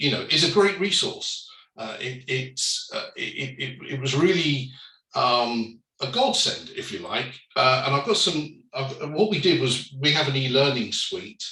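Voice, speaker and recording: Audible room echo hangs on words delivered at a fairly slow pace. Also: man. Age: 60s. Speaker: company director, panellist. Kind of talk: panel discussion. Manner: hesitant, many fillers.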